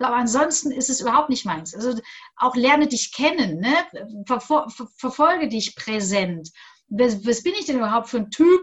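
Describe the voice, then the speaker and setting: With a high pitch and very wide pitch swings, a woman talks at a moderate pace, pausing long and often. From Bavaria, Augsburg. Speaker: coach and former radio presenter. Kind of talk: interview.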